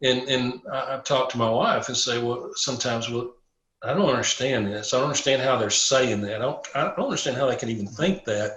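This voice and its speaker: At a fairly quick pace, a man with a Southern US accent talks at a medium pitch with ordinary pitch variation. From Tennessee. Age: 60s. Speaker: police chaplain. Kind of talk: casual chat.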